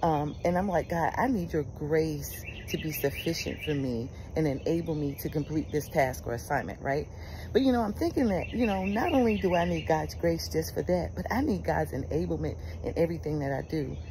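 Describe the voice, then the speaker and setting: A woman talks at a fairly quick pace in a warm tone. The sound is dry with no echo, and background noise is noticeable. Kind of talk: fervent prayer and declaration, devotional monologue. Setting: outdoors, birds chirping. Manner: earnest, emphatic, repeating phrases; uplifting, warm, conversational. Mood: warm, encouraging. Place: garden. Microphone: phone near.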